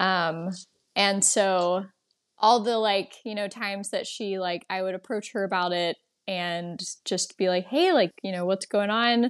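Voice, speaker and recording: A woman with an ordinary speaking voice talks at a fairly slow pace, her medium pitch held in fairly even intonation. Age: 20s. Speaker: nonprofit operations worker. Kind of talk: casual chat.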